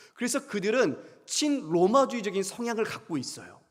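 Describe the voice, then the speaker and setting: High-pitched male voice with very wide pitch swings and audible room echo. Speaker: pastor. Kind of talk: sermon. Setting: church.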